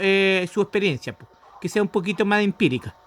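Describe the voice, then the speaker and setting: Bright, sharp tone at a fairly quick pace, fairly even intonation, and a dry, close sound with no echo. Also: man. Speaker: student. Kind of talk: thesis feedback discussion.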